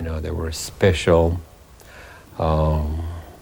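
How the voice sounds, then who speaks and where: Amid audible room echo, a man speaks at a very slow pace in a very deep, low pitch. His voice is dark, mellow and somewhat breathy, with monotone, flat intonation. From Romania. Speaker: Holocaust survivor. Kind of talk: testimony.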